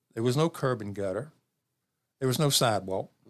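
Speaking at a fairly quick pace with a Southern US accent, this voice comes through in a very clean recording with a silent background. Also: man. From US South. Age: 70s. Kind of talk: casual interview chat.

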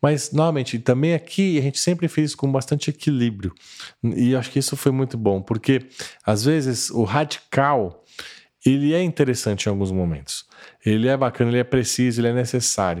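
Here is a man with a normal speaking voice at a medium pitch. He keeps a moderate pace and very even loudness. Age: 50s. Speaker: church lay leader. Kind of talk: casual interview.

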